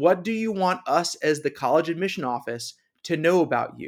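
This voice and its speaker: An ordinary speaking voice with an American accent and ordinary pitch variation. The recording is very clean, with a silent background. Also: man. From US East Coast. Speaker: college admissions director. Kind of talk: interview.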